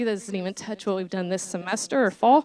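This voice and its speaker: A woman speaks at a fairly quick pace with fairly even intonation. Noticeable background noise runs behind her. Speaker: college program coordinator. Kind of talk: presentation. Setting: board meeting. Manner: fast; hesitant with many fillers.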